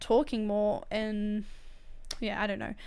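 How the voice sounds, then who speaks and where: A woman speaks with a fairly high pitch and an animated tone. The recording is very clean, with a silent background. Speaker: podcast host reading and commenting on online stories. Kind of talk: reading aloud with casual commentary. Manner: fast.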